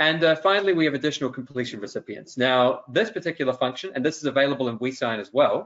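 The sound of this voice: A man talks at a fast pace with lively intonation and a fairly bright tone. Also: medium pitch for a man.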